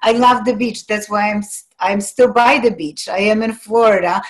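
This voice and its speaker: A woman's fairly high, fairly even voice with a Polish accent at a fairly slow pace. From Poland. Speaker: life coach. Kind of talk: interview.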